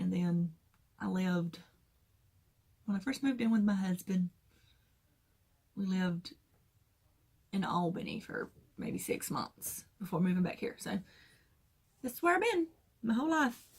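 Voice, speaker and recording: With a south Georgia accent, a woman speaks at medium pitch and a moderate pace, her voice somewhat breathy. Her intonation is lively, broken by long, frequent pauses. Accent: Southern US, south Georgia. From US South, south Georgia. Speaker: crafting vlogger. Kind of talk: casual chat.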